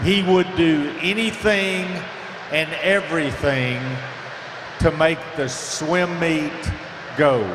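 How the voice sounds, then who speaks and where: A man's high-pitched voice with ordinary pitch variation, a very slow pace and long, frequent pauses, over noticeable background noise and audible room echo. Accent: Southern US. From US South, upstate South Carolina. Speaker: swim meet official. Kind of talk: award presentation speech.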